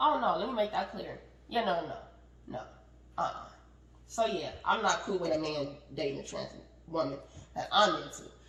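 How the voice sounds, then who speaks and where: A woman with an animated tone pauses long and often, while noticeable background noise and audible room echo fill the recording. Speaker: podcast co-host. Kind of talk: heated debate. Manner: fast.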